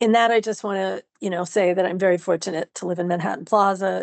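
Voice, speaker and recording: In a normal speaking voice, a woman talks at a medium pitch with fairly even intonation, the sound dry and close with no echo against a quiet background. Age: 60s. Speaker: dancer and writer with multiple sclerosis. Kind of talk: interview.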